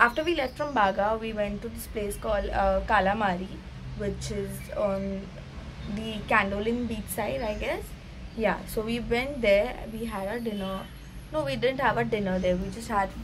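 Light background noise accompanies a woman speaking at a moderate pace. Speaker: travel vlogger. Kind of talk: casual vlog chat. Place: home room. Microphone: phone near.

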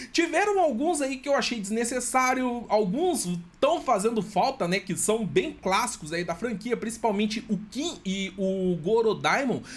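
Speaking in a Brazilian accent at a fairly slow pace with hardly any pauses, the voice has an animated tone and lively intonation. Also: man, high pitch for a man. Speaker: gaming youtuber. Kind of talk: trailer reaction commentary. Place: home room.

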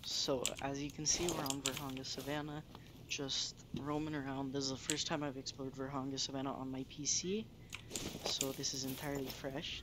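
The voice is quiet and moves at a fairly quick pace. Loud background noise fills the recording. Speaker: gaming youtuber; gamer narrator. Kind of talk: gameplay voiceover narration. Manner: hushed, trying to be quiet; casual, filler-heavy.

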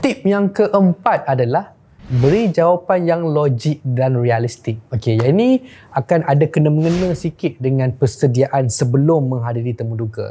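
Somewhat breathy and fairly high-pitched, a man speaks at a moderate pace with a dark, mellow tone and lively intonation. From Malaysia. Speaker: careers show host. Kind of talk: solo tutorial video. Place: studio. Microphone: lapel.

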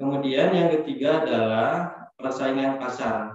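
Against a quiet background, a man speaks at a fairly slow pace with ordinary pitch variation, his voice ringing with strong room echo. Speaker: local government official; presenter. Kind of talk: panel presentation. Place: office.

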